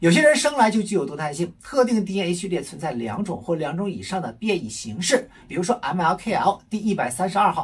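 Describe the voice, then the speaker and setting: Speaking at a moderate pace, a man goes on with hardly any pauses. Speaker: physician explaining medical research. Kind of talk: health education talk. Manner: conversational with filler particles.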